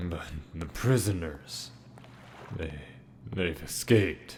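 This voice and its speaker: A man uses a put-on character voice with a very deep, low pitch, speaking at a fairly slow pace. Clear background noise is present. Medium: machinima. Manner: stammering, nervous.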